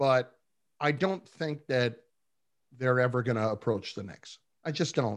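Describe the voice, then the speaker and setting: Pausing long and often, a man speaks at medium pitch with ordinary pitch variation. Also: fairly slow pace. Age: 40s. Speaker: sports radio host. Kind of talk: casual chat.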